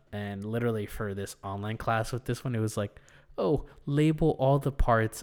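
In a very clean recording with a silent background, a man talks at a moderate pace and medium pitch. He has ordinary pitch variation and a plain, everyday voice. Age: 20s. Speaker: podcast co-host and college student. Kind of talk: casual chat.

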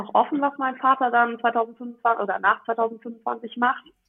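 With a fairly high pitch, a woman talks at a fairly slow pace. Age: 20s. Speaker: family business successor. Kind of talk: interview.

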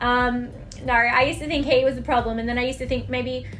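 A woman's high voice in an Australian accent, fairly quick, with noticeable background noise and audible room echo. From Australia, Melbourne. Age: 20s. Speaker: podcast host, life coach. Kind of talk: casual monologue. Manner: chatty, filler-heavy.

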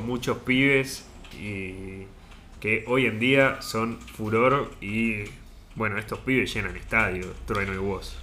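Over audible room echo, a man speaks at a very slow pace and a medium pitch, with ordinary pitch variation. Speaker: podcast co-host. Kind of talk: casual chat.

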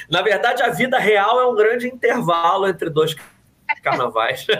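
A man speaks in a Carioca accent with a high pitch, lively intonation and very even loudness. His pace is moderate, and there is noticeable background noise. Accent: carioca Brazilian Portuguese. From Rio de Janeiro, Zona Oeste (Jacarepaguá). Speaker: journalist and writer. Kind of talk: casual interview.

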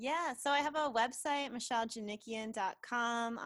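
At a moderate pace, a woman with an unremarkable speaking voice talks with lively intonation. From United States. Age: 30s. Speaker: author. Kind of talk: casual chat.

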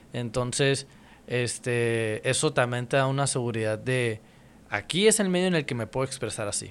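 Speaking at a moderate pace, a man with an ordinary speaking voice keeps a medium pitch and ordinary pitch variation. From Mexicali, Mexico. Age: 30s. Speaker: rapper. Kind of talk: casual chat.

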